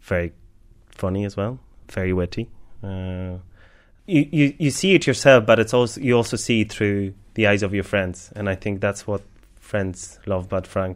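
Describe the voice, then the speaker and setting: In a Polish accent, a man with a fairly low voice and ordinary pitch variation speaks with long, frequent pauses on a very clean recording with a silent background. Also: moderate pace. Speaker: baker and cafe owner. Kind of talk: interview.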